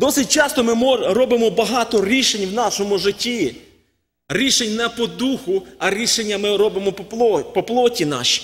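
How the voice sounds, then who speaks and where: Speaking at a fairly slow pace, this man has a high voice. His pitch varies in an ordinary way. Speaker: preacher. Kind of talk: sermon. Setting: church. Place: church. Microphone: podium.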